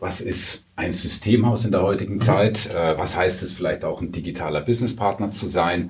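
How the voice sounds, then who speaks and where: A man speaks at a fairly low pitch. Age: 40s. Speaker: IT company sales director. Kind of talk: interview. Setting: studio. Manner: many hesitation fillers.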